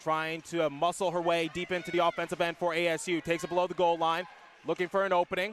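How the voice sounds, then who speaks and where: Over music in the background, a high-pitched man speaks at a very fast pace with very even loudness and monotone, flat intonation. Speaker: sports play-by-play announcer. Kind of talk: hockey play-by-play commentary.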